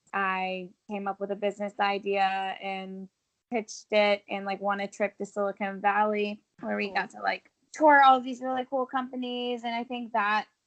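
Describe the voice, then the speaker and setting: A woman speaks at a moderate pace in a plain, everyday voice, her pitch medium and her intonation fairly even. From US South, Georgia (Augusta). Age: 20s. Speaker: entrepreneur and marketing director. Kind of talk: interview, casual chat.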